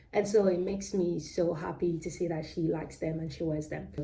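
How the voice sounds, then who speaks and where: A woman with a British-Nigerian accent and a fairly low pitch speaks at a moderate pace. Her intonation is monotone and flat, and audible room echo surrounds the voice. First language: Yoruba. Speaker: crochet vlogger. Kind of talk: casual vlog chat. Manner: halting, many fillers and self-corrections.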